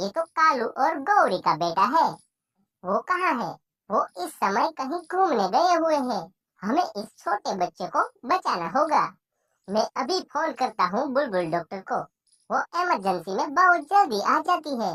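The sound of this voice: Very wide pitch swings mark this cartoonish character voice, a female-sounding one with a high pitch and a moderate pace.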